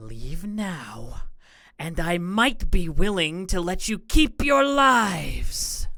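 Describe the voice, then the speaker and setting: A resonant, female-sounding put-on character voice at a medium pitch and a very slow pace, on a very clean recording with a silent background. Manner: cold, harsh, intent, threatening.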